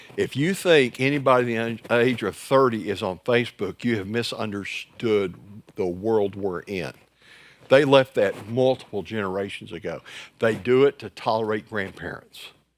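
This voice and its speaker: A man speaks at a medium pitch and a moderate pace with ordinary pitch variation in an unremarkable speaking voice. The recording is very clean with a silent background. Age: 60s. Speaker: church growth trainer for pastors. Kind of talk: workshop presentation. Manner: conversational, joking.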